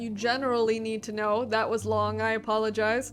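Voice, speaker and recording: Music plays in the background while a woman speaks at a fairly high pitch. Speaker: book reviewer video host. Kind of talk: casual book review monologue. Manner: fast; filler-heavy casual.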